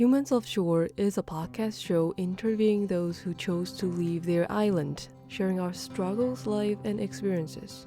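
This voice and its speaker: A woman's fairly low voice at a moderate pace, lively in intonation, with hardly any pauses and music in the background. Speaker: podcast host. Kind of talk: podcast intro read.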